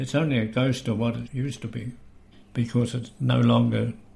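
A man's somewhat breathy voice, dark and mellow, at a medium pitch and moderate pace with monotone, flat intonation. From New Zealand, Canterbury (Lyttelton). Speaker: retired waterfront worker and historian. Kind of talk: interview testimony.

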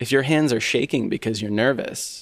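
In an American accent, a man speaks at medium pitch with fairly even intonation on a very clean recording with a silent background. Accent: Southern US accent largely ironed out. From US South, Kentucky. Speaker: orchestral timpanist. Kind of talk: casual interview.

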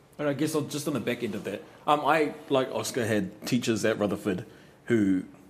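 A man with a New Zealand accent speaks with ordinary pitch variation. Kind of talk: casual chat. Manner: animated, loud, fast talker.

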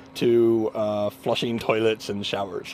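Noticeable background noise surrounds a man talking at a medium pitch. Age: 40s. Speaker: software engineer. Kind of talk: interview.

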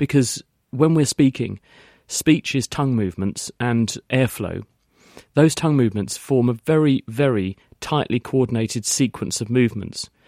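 Speaking in an English accent, a man with a medium pitch and a dark, mellow tone moves at a moderate pace with ordinary pitch variation, recorded dry and close with no echo. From England. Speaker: science expert on radio. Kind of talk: radio call-in Q&A.

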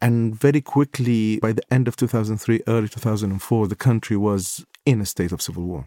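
A man speaks with an Iraqi accent at a medium pitch, his tone dark and mellow with ordinary pitch variation and hardly any pauses. The recording is very clean, with a silent background and a dry, close sound with no echo. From Baghdad, Iraq. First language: Arabic. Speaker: war correspondent and photographer. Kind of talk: interview recounting stories.

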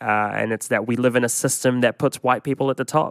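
An unremarkable speaking voice moves at a fairly quick pace, with a dry, close sound and no echo. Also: man. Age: 30s. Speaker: podcast co-host. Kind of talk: documentary-style podcast narration and chat.

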